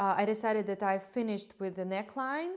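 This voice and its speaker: With a non-native accent, a woman speaks at a medium pitch with ordinary pitch variation. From Belarus. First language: Russian. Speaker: knitting vlogger. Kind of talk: casual monologue to camera. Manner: halting, with frequent fillers.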